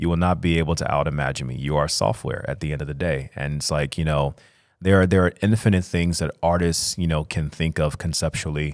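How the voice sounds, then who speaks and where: A man with an American accent talks at a very fast pace in a very deep, low pitch with fairly even intonation. The recording is very clean, with a silent background. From Chicago. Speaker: fine artist. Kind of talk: casual interview. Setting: studio.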